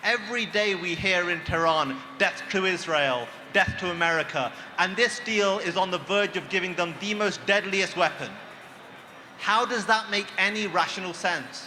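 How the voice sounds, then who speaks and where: Over noticeable background noise, a man with a British accent speaks in a raised, projected voice at a moderate pace, high in pitch with ordinary pitch variation. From Britain. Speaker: activist speaker. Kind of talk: rally speech. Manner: impassioned. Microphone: too far from microphone.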